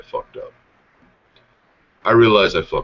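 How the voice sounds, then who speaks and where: Here a man is talking. His delivery moves fairly quickly. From Idaho, US. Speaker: podcast host. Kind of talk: casual chat. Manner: animated.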